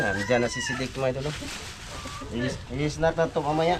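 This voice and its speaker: The man's delivery is fairly quick. Background noise is clearly noticeable. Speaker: vlogger. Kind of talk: casual vlog narration.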